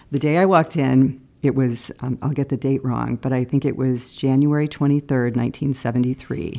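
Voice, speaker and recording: With a Midwestern American accent, a woman speaks in a very deep, low, dark and mellow voice at a fairly slow pace, with fairly even intonation and hardly any pauses. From Iowa, Cedar Rapids. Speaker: TV news producer. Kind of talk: interview.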